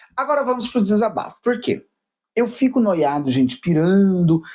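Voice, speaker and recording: On a very clean recording with a silent background, a man with a dark, mellow tone and a high pitch speaks at a fairly slow pace, his pitch swinging very widely. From Paraná, southern Brazil. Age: 30s. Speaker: YouTuber, journalism student. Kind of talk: casual vlog monologue.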